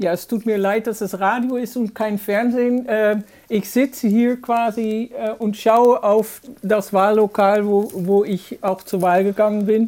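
Speaking very slowly with a Dutch accent, a woman has a dark, mellow tone and fairly even intonation. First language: Dutch (speaking German). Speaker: journalist. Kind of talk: interview. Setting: video call. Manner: hesitant, many fillers.

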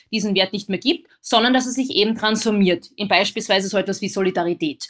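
A woman's normal speaking voice, fairly high in pitch and at a fairly quick pace, over a quiet background. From Austria. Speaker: philosopher and lecturer. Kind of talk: interview.

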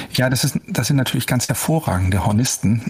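A man of medium pitch, with noticeable background noise. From northern Germany, Hamburg. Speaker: opera tenor. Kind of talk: interview. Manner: hesitant, many fillers.

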